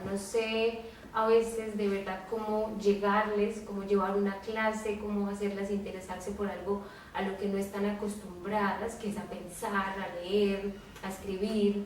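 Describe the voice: A woman at a fairly slow pace, with little pitch movement and audible room echo. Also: medium pitch for a woman, few pauses.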